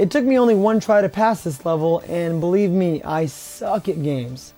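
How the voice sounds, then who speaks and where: The man's voice is high in pitch, with lively intonation. Music plays in the background. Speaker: retro video game reviewer. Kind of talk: game review narration.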